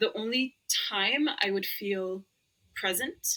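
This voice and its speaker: In an Arabic accent, a woman speaks in a bright, sharp tone with fairly even intonation. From Lebanon. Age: 30s. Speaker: roller skater and former pharmacist. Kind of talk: podcast interview.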